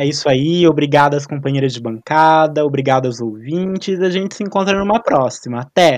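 A man at a fairly quick pace, with hardly any pauses and ordinary pitch variation. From Cambé, Paraná, Brazil. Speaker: reporter, journalism student. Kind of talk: casual discussion.

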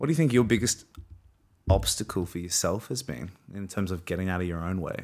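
A man with an Australian accent, very deep and low in pitch, lively in intonation and fairly quick in pace, on a very clean recording with a silent background. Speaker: podcast host and actor. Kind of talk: casual interview chat.

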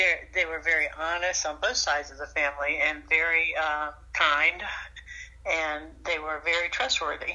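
With a Southern US accent, a woman speaks at a moderate pace, her loudness swinging widely. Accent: Southern US (Georgia). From US South, rural South Georgia. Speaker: retired flight attendant, grandmother. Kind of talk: casual interview.

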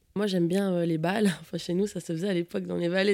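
On a very clean recording with a silent background, a woman with a plain, everyday voice speaks at a fairly low pitch and with fairly even intonation. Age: 30s. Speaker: office worker looking for a farmer partner. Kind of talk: personal testimony.

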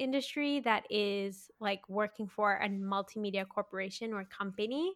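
In a Canadian accent, a woman talks at a fairly slow pace in a fairly high pitch with fairly even intonation and an ordinary speaking voice. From Canada, Mississauga (Greater Toronto Area). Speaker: photographer and videographer, business owner. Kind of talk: interview, casual chat.

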